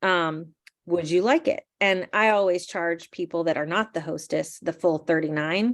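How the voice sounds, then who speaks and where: A woman with an unremarkable speaking voice talks at a moderate pace and a fairly low pitch. Her pitch variation is ordinary, and the background is quiet. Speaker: direct sales team leader. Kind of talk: training workshop.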